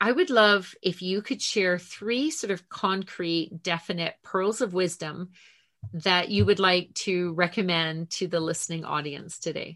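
With a bright, sharp tone and a medium pitch, a woman speaks very slowly with ordinary pitch variation against a quiet background. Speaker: podcast host. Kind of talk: casual interview.

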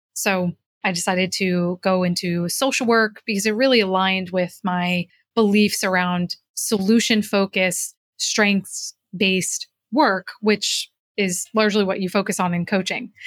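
A woman's normal speaking voice at a fairly slow pace, with a dry, close sound with no echo, in a very clean recording with a silent background. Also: medium pitch for a woman, fairly even intonation. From New Jersey, US. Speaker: executive coach and author. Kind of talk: interview.

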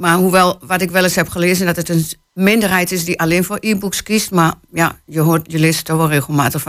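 This woman speaks in a fairly low pitch with a Twente accent. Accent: Twente accent, still noticeable. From Hengelo, Twente (eastern Netherlands). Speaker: novelist. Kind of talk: interview. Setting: radio studio.

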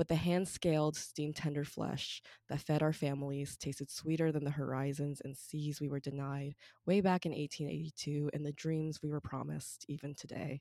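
A woman's very deep, low voice in a monotone, flat intonation, with dry, close sound and no echo. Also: moderate pace. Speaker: student poet. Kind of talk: poetry reading, performed spoken-word narrative. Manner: steady, storytelling, emphatic and heartfelt.

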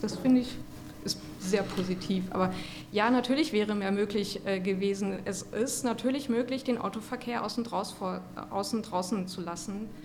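A woman speaks at a moderate pace with ordinary pitch variation. Noticeable background noise and audible room echo fill the recording. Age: 40s. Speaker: cycling club chairwoman. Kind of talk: casual chat. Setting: kiosk.

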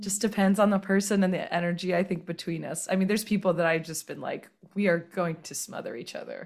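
On a very clean recording with a silent background, a somewhat breathy voice with an American accent rushes along at a very fast pace with hardly any pauses, fairly even intonation, and big swings in loudness. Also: woman, medium pitch for a woman. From US South. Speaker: podcast guest. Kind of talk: casual chat.

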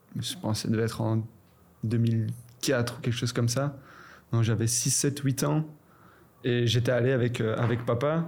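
The delivery is fairly slow and fairly even in intonation, with a somewhat breathy quality. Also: man. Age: 20s. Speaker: professional footballer. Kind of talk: casual chat.

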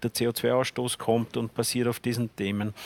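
A man talks in a normal speaking voice at a medium pitch and a moderate pace. His intonation is fairly even, and the sound is dry and close with no echo. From Lower Austria. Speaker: politician. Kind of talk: panel debate.

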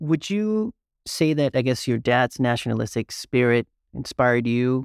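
On a very clean recording with a silent background, a man's medium-pitched voice sounds dry and close with no echo. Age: 30s. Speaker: podcast host. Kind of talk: interview.

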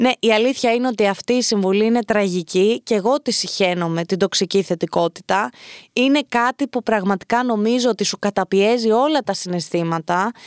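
A woman with a fairly high pitch and ordinary pitch variation speaks at a moderate pace with hardly any pauses. Her loudness is very even, and the very clean recording has a silent background and a dry, close sound with no echo. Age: 20s. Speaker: podcast host. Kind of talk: casual advice monologue. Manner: animated.

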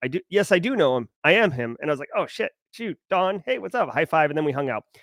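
Very fast and energetically animated, a man talks in a dry, close sound with no echo. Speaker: cybersecurity livestream host. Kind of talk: casual live stream commentary. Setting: home studio live stream. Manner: energetic, animated.

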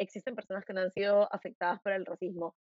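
A woman speaks with a Lima accent. Her pace is fairly quick. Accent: Lima Peruvian Spanish. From Peru, Lima. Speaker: podcast host. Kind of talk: interview conversation.

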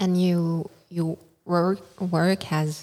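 A woman's dark, mellow voice in a French accent, fairly low in pitch, with fairly even intonation. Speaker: radio host. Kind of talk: interview. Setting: festival radio studio. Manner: halting.

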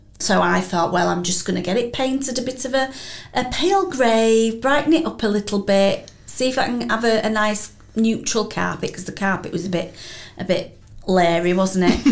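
Audible room echo surrounds a woman with a Yorkshire accent. She talks at a moderate pace and medium pitch, with ordinary pitch variation. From Wakefield, West Yorkshire. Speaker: podcast host. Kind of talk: interview. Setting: studio.

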